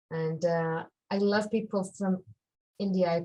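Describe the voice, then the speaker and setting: This woman's voice is somewhat breathy, with a dark, mellow tone. Her pitch sits in the medium range and her intonation stays fairly even. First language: Hebrew. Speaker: life purpose coach. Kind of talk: interview. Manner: halting.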